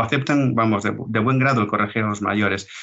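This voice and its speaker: Noticeable background noise under a man's speech, medium in pitch and with ordinary pitch variation. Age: 60s. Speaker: retired police officer and road safety educator. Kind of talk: interview. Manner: halting, repeats words.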